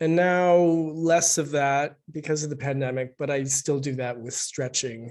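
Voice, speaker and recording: A man with an American accent speaks in a normal speaking voice, his pitch fairly high. He talks at a fairly slow pace with fairly even intonation and hardly any pauses. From US Northwest (Spokane, Washington). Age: 60s. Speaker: author. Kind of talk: book event interview.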